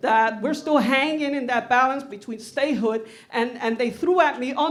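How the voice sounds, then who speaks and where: A woman with a high pitch keeps a moderate pace, her pitch varying in an ordinary way. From New York, Bronx (Puerto Rican). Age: 60s. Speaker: audience member. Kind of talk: Q&A comment at panel event.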